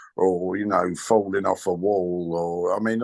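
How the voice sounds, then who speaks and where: A man with a British accent. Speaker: comedian. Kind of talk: interview answer.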